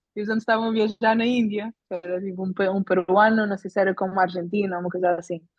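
A woman at a medium pitch speaks very fast with hardly any pauses and a monotone, flat intonation. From Portugal. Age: 20s. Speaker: bicycle traveller. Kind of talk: casual chat.

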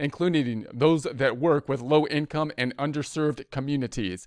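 An ordinary speaking voice from a man, fairly high in pitch with ordinary pitch variation, at a moderate pace, in a dry, close sound with no echo. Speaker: tax news presenter. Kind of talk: formal newsreading of a press release, then casual explanatory commentary. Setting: online video or podcast with description link. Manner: formal, even and measured, reading official text verbatim; plain conversational asides with fillers like uh.

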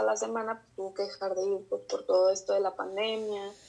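A woman with a Mexican accent and a monotone, flat intonation. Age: 30s. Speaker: psychologist. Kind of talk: interview. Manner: hesitant, many fillers.

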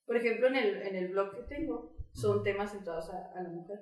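With lively intonation, a woman speaks in a space with audible room echo. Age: 20s. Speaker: student and writer. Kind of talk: casual chat.

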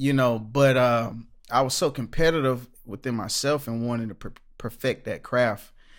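In an American accent, a man with an unremarkable speaking voice talks at a moderate pace and medium pitch, his intonation fairly even. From Orlando, Florida. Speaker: gospel musician. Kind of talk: casual interview.

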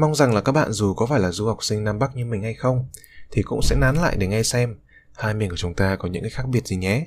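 A man with a Hanoi accent speaks at a very fast pace, his pitch fairly low with ordinary pitch variation. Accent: Northern Vietnamese (Hanoi). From northern Vietnam, Hanoi. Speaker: student podcaster. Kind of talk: personal monologue podcast.

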